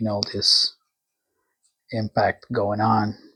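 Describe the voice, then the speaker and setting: This is a man's voice. It sounds somewhat breathy. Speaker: comic book artist. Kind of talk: tutorial. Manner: halting.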